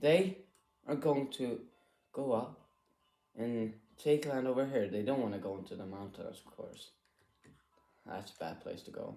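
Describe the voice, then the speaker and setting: A man's shaky, dark, mellow voice sits at a medium pitch, with lively intonation. His loudness swings widely, and he leaves long, frequent pauses. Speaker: gaming video creator. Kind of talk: gameplay commentary.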